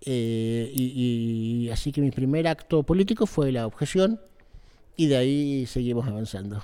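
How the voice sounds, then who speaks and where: A man talks fairly slowly at medium pitch with ordinary pitch variation. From Israel (kibbutz), born in Argentina. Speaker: political activist, NGO director. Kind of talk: interview. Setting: backstage before a public talk. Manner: hesitant, many fillers.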